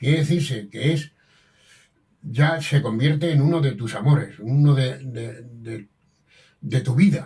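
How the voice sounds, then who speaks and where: A man's fairly high, somewhat breathy voice in a dark, mellow tone, at a fairly slow pace with ordinary pitch variation and long, frequent pauses. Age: 80s+. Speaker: master damascene craftsman. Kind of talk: interview. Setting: at his home. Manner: halting, with frequent repetitions.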